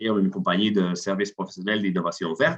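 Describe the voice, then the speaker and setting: Man with a non-native accent and a fairly low pitch. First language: not French (speaking French). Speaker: CEO of an innovation consultancy. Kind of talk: webinar presentation. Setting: online webinar. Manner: halting, many fillers and repetitions.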